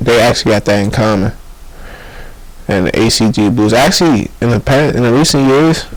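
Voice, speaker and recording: A man with a fairly low voice and ordinary pitch variation talks at a moderate pace while noticeable background noise runs underneath. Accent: American. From DMV area (Maryland/DC). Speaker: rapper. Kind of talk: casual interview chat. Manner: soft-spoken, does not project.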